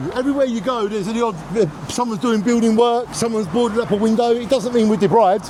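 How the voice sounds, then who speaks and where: The speech is very fast, with fairly even intonation. Audible room echo and noticeable background noise fill the recording. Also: man, extremely high pitch for a man. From Jaywick, Essex, from London family. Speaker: local resident. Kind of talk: street interview. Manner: passionate.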